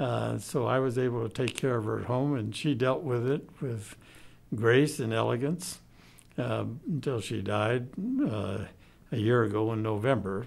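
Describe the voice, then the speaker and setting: Speaking with an American accent, a man keeps a medium pitch with ordinary pitch variation at a moderate pace, and the room echo is audible. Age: old. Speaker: retired pediatrician. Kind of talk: interview testimony.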